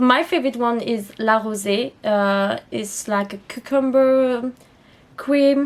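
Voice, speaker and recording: A woman speaks very slowly in a French accent, her fairly high voice moving with ordinary pitch variation. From France. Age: 20s. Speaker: beauty youtuber. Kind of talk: makeup tutorial. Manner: casual, chatty.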